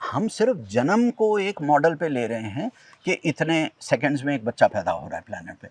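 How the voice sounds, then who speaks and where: A man's fairly high voice makes very wide pitch swings and big jumps in loudness at a moderate pace. The sound is dry and close with no echo. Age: 50s. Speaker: environmental activist, tree planter. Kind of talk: interview conversation. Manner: animated.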